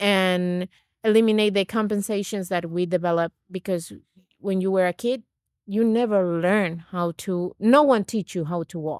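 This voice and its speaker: With a Venezuelan accent, a woman speaks at a medium pitch and moderate pace with ordinary pitch variation, on a very clean recording with a silent background and a dry, close sound with no echo. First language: Spanish. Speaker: naturopath and nutrition coach. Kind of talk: podcast interview.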